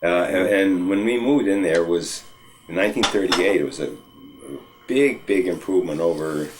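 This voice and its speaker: Amid noticeable background noise and audible room echo, a man with an American accent and a very deep, low pitch speaks at a fairly quick pace with ordinary pitch variation. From New England, US (Northampton, Massachusetts). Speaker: oral history interviewee. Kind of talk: oral history interview. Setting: at home. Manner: halting, many fillers and restarts.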